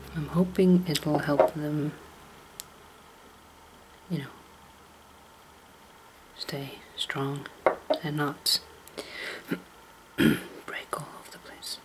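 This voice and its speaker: A soft-spoken woman with a very deep, low pitch and a relaxed tone talks at a very slow pace with long, frequent pauses. Her loudness swings widely, over noticeable background noise. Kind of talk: ASMR soft-spoken ramble to camera. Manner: soft-spoken, relaxed, rambling.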